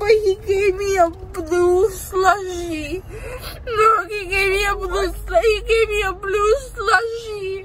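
A woman talks at a very slow pace. Noticeable background noise runs underneath. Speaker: vlogger after dental surgery. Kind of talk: casual vlog chat. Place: car. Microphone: phone near.

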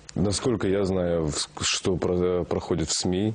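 This man has a very deep, low pitch. His intonation is fairly even. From Kazakhstan. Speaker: actor. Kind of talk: interview. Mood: relaxed, reflective. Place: studio. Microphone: lapel.

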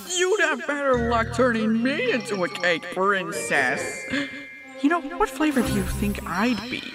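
Someone uses a put-on character voice over clear music in the background. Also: moderate pace. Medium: dub. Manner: taunting, playful.

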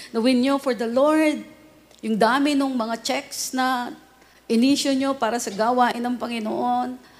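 Speaking fairly slowly, a woman uses a high pitch and fairly even intonation. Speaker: radio preacher. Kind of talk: sermon. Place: studio.

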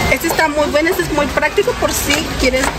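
Clear music sits behind the voice. The delivery runs at a fairly quick pace. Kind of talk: product presentation. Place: shop. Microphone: phone near.

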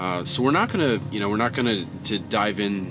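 Over clear background music, a man speaks in a fairly low pitch with ordinary pitch variation. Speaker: truck driver vlogger. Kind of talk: casual vlog chat. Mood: reflective, somber. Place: car.

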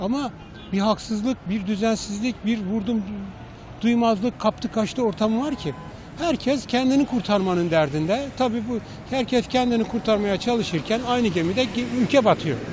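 At a moderate pace, a man speaks in a high pitch with ordinary pitch variation. The sound is dry with no echo, and there is light background noise. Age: old. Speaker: retiree. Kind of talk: street interview. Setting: outdoors. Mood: concerned, critical. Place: street. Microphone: handheld.

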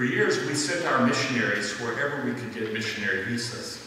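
Strong room echo and light background noise surround a man speaking at a moderate pace. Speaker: presenter. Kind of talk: church announcement talk. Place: church.

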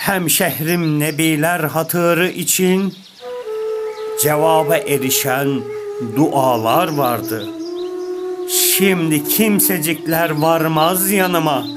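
Over background music, a man talks at a very slow pace with very even loudness and lively intonation. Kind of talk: poetry reading.

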